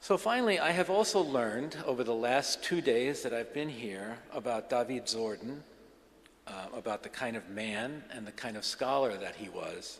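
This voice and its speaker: The delivery has lively intonation. Its pace is moderate. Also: man, medium pitch for a man. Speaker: scholar of religion. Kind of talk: lecture. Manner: halting, many fillers and restarts.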